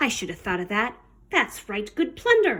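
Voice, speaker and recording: A woman puts on a character voice at a fairly high pitch, growling and rumbling. She keeps a moderate pace. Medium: read story. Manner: growling, grumbling.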